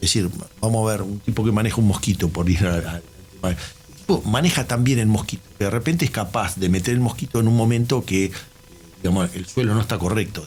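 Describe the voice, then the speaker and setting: Amid noticeable background noise, a man with a Uruguayan accent speaks at a fairly quick pace and fairly low pitch, with ordinary pitch variation. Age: 60s. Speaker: systems engineer. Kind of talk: casual chat.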